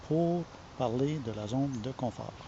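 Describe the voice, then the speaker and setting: With a Quebec accent, a man talks at a fairly slow pace, his pitch medium and ordinary in variation. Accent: Québécois French. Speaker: online marketer. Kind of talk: casual vlog talk. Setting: home. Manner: halting, with many fillers.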